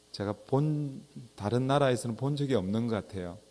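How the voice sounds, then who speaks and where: A man talks with ordinary pitch variation. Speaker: pastor. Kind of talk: sermon. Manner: slow.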